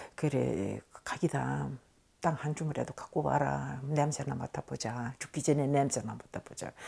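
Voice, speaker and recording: At a moderate pace, a woman talks with a dark, mellow tone and vocal fry. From Tashkent, Uzbekistan. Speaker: Koryo-saram oral history interviewee. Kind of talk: oral history interview answer.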